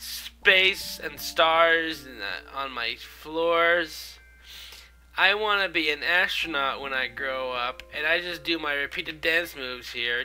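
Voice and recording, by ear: At a slow pace, the voice has a bright, sharp yet clear, smooth tone with ordinary pitch variation. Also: man.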